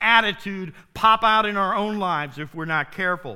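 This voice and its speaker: A man projects a raised voice with a bright, sharp tone and lively intonation. He keeps a moderate pace on a very clean recording with a silent background. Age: 50s. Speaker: pastor. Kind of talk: sermon.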